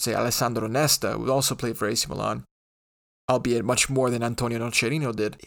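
A man with an American accent, medium in pitch and fairly quick, in an unremarkable speaking voice, on a very clean recording with a silent background. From New York. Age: 20s. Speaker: podcast host. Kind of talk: casual solo podcast talk.

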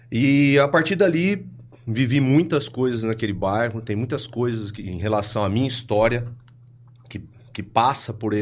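A man talks in a normal speaking voice. He keeps a moderate pace and ordinary pitch variation. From Brazil, Ribeirão Preto (São Paulo state). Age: 30s. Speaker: clinical psychologist. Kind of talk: casual chat.

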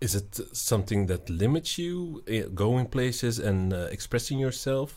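Speaking at a fairly slow pace with hardly any pauses, a man uses an ordinary speaking voice of medium pitch and lively intonation, recorded very cleanly against a silent background. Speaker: podcast co-host and comedian. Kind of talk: interview chat. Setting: studio.

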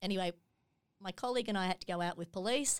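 A woman with an Australian accent, medium pitch and ordinary pitch variation, in a very clean recording with a silent background. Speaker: charity executive. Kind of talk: interview.

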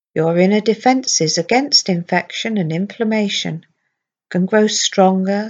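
A woman's plain, everyday voice at medium pitch, fairly slow in pace, with ordinary pitch variation. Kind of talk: guided hypnosis script read aloud to a patient. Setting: recorded audio played to patient headphones in intensive care. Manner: slow, soothing, gentle, with long pauses; calm, steady, reassuring, soft-spoken.

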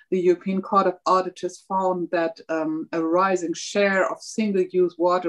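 An ordinary speaking voice at a fairly slow pace with fairly even intonation. The sound is dry and close, with no echo. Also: woman. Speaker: politician. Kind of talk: panel discussion. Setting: video call.

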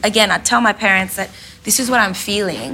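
A woman with an Australian accent speaks very fast at a medium pitch, with ordinary pitch variation. Noticeable background noise runs underneath. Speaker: lived experience representative, lawyer. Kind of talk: panel discussion, personal testimony. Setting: stage with live audience.

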